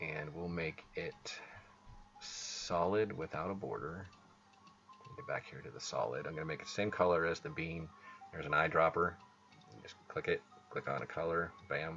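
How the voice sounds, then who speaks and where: A man mumbles in a very deep, low pitch with ordinary pitch variation, big swings in loudness and long, frequent pauses. Music plays in the background. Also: moderate pace. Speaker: game developer. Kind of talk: tutorial. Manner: mumbling; casual.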